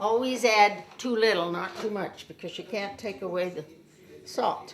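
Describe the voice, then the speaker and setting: A woman at a medium pitch and moderate pace, with ordinary pitch variation, big swings in loudness and noticeable background noise. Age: 80s+. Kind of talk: cooking demonstration. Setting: home kitchen. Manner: casual, chatty.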